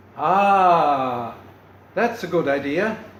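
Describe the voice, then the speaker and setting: There is noticeable background noise. A man speaks at a high pitch with lively intonation. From Sweden. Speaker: storyteller. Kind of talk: storytelling, folktale performance to an audience.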